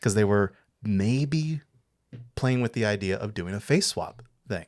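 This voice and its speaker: A man's fairly low voice, an ordinary speaking voice with an American accent, ordinary pitch variation and a fairly slow pace, in a very clean recording with a silent background. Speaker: film podcast co-host. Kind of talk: casual chat.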